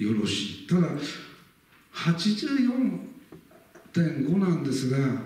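There is audible room echo as a man speaks at a very slow pace. His pitch sits fairly high. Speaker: local history lecturer. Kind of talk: lecture. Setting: lecture hall with live audience. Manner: formal, frequent filler words. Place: hall. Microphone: camera far.

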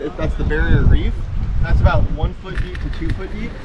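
The pace is very fast. Loud background noise runs underneath. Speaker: boat crew guide. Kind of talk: tour guide briefing. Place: boat.

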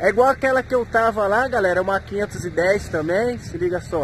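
Noticeable background noise sits behind a man's high-pitched voice. He talks at a fairly slow pace with lively intonation. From Brazil, São Paulo state interior (Campinas). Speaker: truck driver vlogger. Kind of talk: casual vlog chat. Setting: truck stop at night. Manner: animated.

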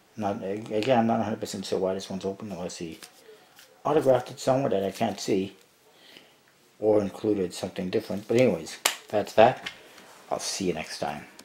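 Someone speaks at a fairly quick pace with ordinary pitch variation amid noticeable background noise. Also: man, fairly low pitch for a man. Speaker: card collector vlogger. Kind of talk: casual unboxing commentary. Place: home room. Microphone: phone near.

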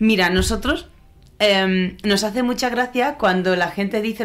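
A woman speaks in an Andalusian accent at a moderate pace. Her pitch is medium, with ordinary variation. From Andalusia, Spain. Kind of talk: live interviews with students. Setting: in-person event with audience.

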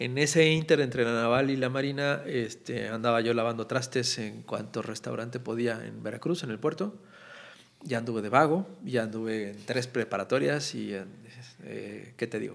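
With vocal fry and lively intonation, a man talks at a moderate pace with big swings in loudness. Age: 40s. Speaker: political cartoonist; podcast guest. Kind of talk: casual chat. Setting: studio. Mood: relaxed, warm, smiling. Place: studio. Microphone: studio mic.

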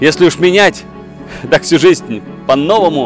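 A man at a fairly slow pace, pitch swinging very widely, with clear music in the background. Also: dry sound with no echo. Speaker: actor. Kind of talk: poetry reading. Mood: warm, wistful, intimate. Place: street. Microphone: lapel.

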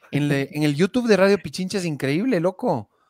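Recorded dry and close with no echo against a silent background, a man speaks at a moderate pace with very wide pitch swings. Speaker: radio comedian and podcast host. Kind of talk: casual chat.

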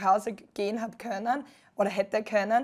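In a Styrian accent, a woman with a fairly high pitch speaks at a moderate pace in a monotone, flat intonation, on a very clean recording with a silent background. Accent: Styrian Austrian dialect. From Austria, Styria. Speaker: beach volleyball player. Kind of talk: TV interview.

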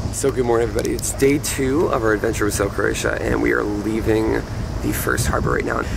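With noticeable background noise, a man talks at a very fast pace in a dry sound with no echo. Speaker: travel vlogger. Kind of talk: casual vlog chat. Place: boat. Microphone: phone near.

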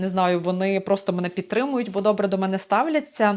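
A woman talks in a normal speaking voice at medium pitch. Her pitch variation is ordinary. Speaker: vocal teacher. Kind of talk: vlog monologue. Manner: warm and encouraging.

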